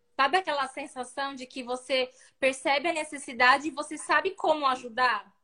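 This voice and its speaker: A woman's raised, projected voice, high-pitched with a bright, sharp tone, fairly even intonation, big swings in loudness and a moderate pace. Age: 30s. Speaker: fashion designer and event rental business owner. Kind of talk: interview on a live video stream.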